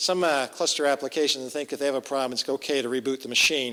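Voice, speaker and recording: The voice has a bright, sharp tone and fairly even intonation, moving at a very fast pace. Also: man. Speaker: tech conference speaker. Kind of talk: lightning talk presentation.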